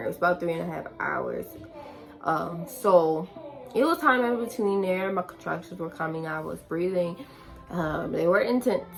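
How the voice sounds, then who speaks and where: Music plays behind the speaker. She is a woman talking at a moderate pace. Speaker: vlogger. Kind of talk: casual storytime.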